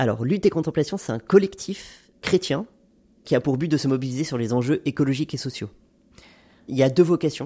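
A man's dark, mellow, somewhat breathy voice at a fairly quick pace, broken by long, frequent pauses, on a very clean recording with a silent background. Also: fairly high pitch for a man, ordinary pitch variation. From France, Haute-Savoie. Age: 30s. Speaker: NGO climate advocate. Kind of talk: testimony.

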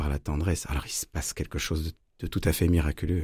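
A man's very deep, low, somewhat breathy voice with a dark, mellow tone, at a moderate pace, in a very clean recording with a silent background. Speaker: violinist and storyteller. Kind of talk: interview.

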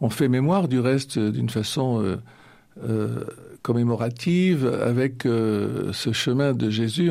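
A man speaks with ordinary pitch variation. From Normandy, France. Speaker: retired priest. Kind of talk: radio interview. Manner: halting.

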